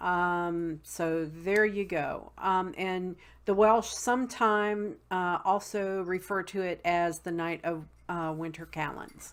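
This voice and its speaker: Speaking at a very slow pace with a Southern accent, a woman uses a medium pitch and fairly even intonation on a very clean recording with a silent background. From West Virginia, Appalachian mountains. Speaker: witchcraft video blogger. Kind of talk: casual tutorial. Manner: many fillers (um, uh).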